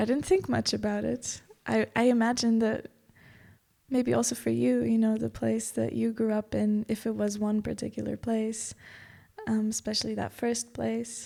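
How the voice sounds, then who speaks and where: A woman speaks with a Portuguese accent. Her pace is moderate. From Macau until six, then Portugal. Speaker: yoga teacher. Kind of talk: podcast interview.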